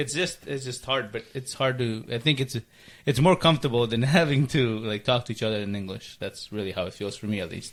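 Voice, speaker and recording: Using a Spanish accent, a man speaks at a fairly quick pace and medium pitch with ordinary pitch variation. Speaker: podcast host. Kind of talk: casual chat.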